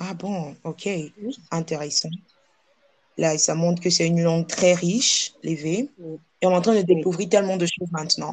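Here a woman speaks with a West African accent. Her pitch is fairly low and her pace moderate. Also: fairly even intonation. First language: Ewe (speaking French). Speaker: podcast host. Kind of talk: interview.

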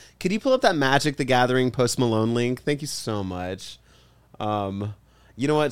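This man has an unremarkable speaking voice at medium pitch, with ordinary pitch variation and a moderate pace. The recording is very clean, with a silent background. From Texas, Cuban-American family. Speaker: podcast co-host, comedian. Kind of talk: casual chat.

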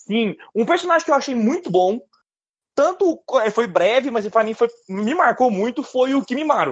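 This man speaks at a moderate pace in an extremely high pitch, with very wide swings up and down. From Brazil, Minas Gerais (Uberlândia). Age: 30s. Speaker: podcast co-host. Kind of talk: casual chat.

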